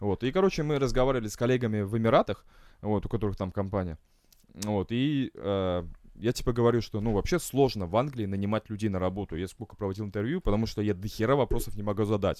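Talking at a very fast pace, a man with a fairly low pitch and ordinary pitch variation is heard on a very clean recording with a silent background. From Estonia. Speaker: guest living abroad in England. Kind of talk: casual banter chat.

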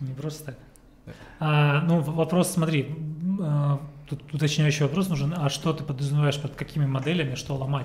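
A man speaks with a fairly high pitch and flat, monotone intonation, leaving long, frequent pauses. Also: moderate pace. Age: 30s. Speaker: business consultant. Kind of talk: casual chat.

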